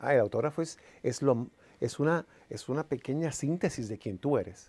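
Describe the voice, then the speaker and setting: This man talks at a moderate pace in a dark, mellow tone. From Puerto Rico. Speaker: entertainer and producer; interview guest. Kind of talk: interview. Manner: animated. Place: studio. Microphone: lapel.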